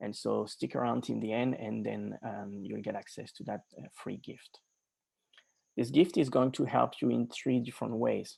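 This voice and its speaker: A man speaks at a moderate pace with a slight French accent. His loudness swings widely over a quiet background. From France, Normandy. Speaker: life and business coach. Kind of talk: webinar presentation.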